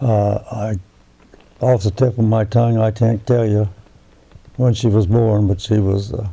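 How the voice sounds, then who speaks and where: Noticeable background noise surrounds a man with a fairly low pitch. He talks at a fairly slow pace in a monotone, flat delivery, with long, frequent pauses. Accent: American. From West Virginia (northern, near Wheeling). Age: 90s. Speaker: war veteran. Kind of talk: oral history interview. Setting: at his home. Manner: halting, with false starts.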